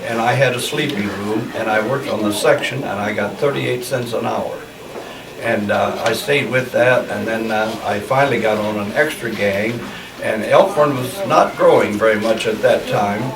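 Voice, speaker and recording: A man speaks at a moderate pace with a Midwestern US accent. The recording has noticeable background noise and audible room echo. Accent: US Midwest. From Nebraska. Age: 80s+. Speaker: elderly local resident. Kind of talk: oral history interview. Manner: halting.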